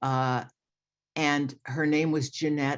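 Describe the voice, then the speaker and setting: A woman with a very deep, low pitch and a New York accent, very slow pace, quiet background. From New York, Long Island. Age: 70s. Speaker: retired lawyer sharing recovery story. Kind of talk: recovery testimony at online meeting. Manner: hesitant, many fillers.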